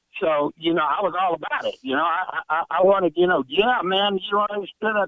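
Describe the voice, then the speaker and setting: Talking at a fairly quick pace, a man with an American accent has a high pitch. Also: ordinary pitch variation. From military family, US. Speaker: caller. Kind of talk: call-in opinion.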